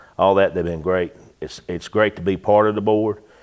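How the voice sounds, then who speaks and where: The speaker has a North Carolina accent and a monotone, flat intonation. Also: man. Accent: US Southern (North Carolina). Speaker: auto repair business owner. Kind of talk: interview. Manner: quiet; halting.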